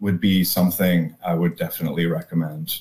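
A man is speaking. He has an American accent. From US South, North Carolina (Durham). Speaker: backpacker and theologian. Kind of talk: casual chat.

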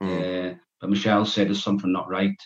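A man speaks with a northeast English accent. His pitch is fairly low and his intonation monotone and flat. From northeast England, Berwick-upon-Tweed. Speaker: author and reformed gangster. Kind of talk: podcast interview. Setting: video call. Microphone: poor sound quality over zoom.

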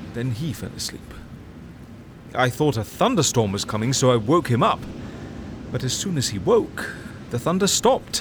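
Over noticeable background noise, a man with a medium-pitched voice speaks at a moderate pace with lively intonation and long, frequent pauses. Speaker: fictional character narrator. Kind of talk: scripted fiction, epistolary letter narration. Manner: intimate, wistful, musing; wry, animated, self-correcting.

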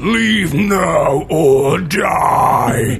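With clear music in the background, someone performs a put-on character voice. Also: man, high pitch for a man.

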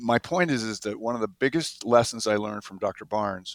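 A man's medium-pitched, unremarkable speaking voice at a moderate pace, with fairly even intonation. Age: 60s. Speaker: physician. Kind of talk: casual interview.

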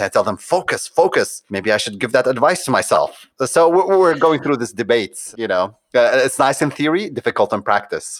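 Fairly high in pitch and fairly quick, a man talks in an ordinary speaking voice with lively intonation and hardly any pauses, the sound dry and close with no echo. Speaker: conversion optimization agency founder. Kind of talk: casual interview chat.

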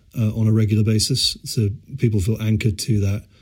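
A man's fairly low, somewhat breathy voice at a moderate pace with fairly even intonation, on a very clean recording with a silent background. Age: 40s. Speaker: startup founder and CEO. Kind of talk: interview.

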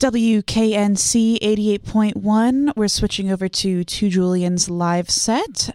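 A woman speaks at a medium pitch and a very slow pace, with a dark, mellow tone, ordinary pitch variation, very even loudness and hardly any pauses. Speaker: college radio host. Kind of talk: casual radio interview.

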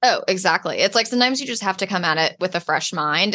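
Against a quiet background, a woman talks very fast in a bright, sharp tone at medium pitch with ordinary pitch variation. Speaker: artist and art business coach. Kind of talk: casual interview chat. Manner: fast talker.

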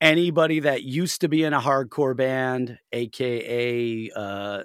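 A man with a medium pitch and a Western New York accent speaks with fairly even intonation on a very clean recording with a silent background. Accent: Western New York American. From US Northeast, Buffalo NY. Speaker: hardcore band vocalist. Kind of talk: casual interview.

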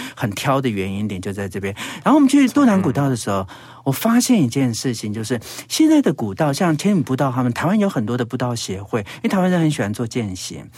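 Someone with a Taiwanese accent talks at a very fast pace, pitch swinging very widely. Noticeable background noise sits behind the voice. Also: man. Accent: Taiwanese Mandarin. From Taiwan, Hsinchu (Zhudong), Hakka. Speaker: radio host and travel writer. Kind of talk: casual interview. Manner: animated.

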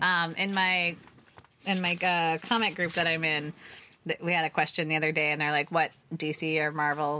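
A woman at a fairly low pitch, moderate pace and monotone, flat intonation. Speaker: comics podcast co-host. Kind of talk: casual chat. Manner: loud.

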